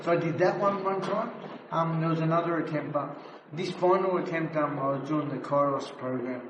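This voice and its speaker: A man with a high-pitched voice speaks over noticeable background noise, with audible room echo. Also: ordinary pitch variation, fairly quick pace. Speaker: former addict and prison escapee. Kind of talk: interview, telling his life story. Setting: outdoors in graffiti tunnels. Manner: slurred speech at times; casual, halting.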